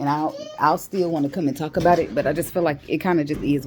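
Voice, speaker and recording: Animated in tone, a woman with a very deep, low voice talks at a fairly quick pace with ordinary pitch variation. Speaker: vlogger. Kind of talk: casual monologue. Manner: fast.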